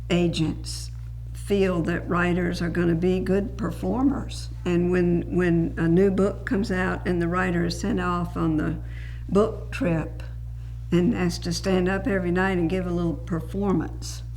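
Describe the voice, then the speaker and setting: Music plays in the background as a woman speaks. She has a Southern US accent and a fairly slow pace. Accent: Southern American. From South Georgia, USA. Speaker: writer and radio commentator. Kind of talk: interview answer.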